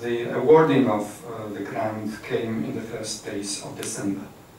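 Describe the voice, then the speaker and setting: Here a man speaks at a fairly slow pace with ordinary pitch variation. Room echo is audible, along with noticeable background noise. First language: not English. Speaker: academic trainer. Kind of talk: lecture. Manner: halting.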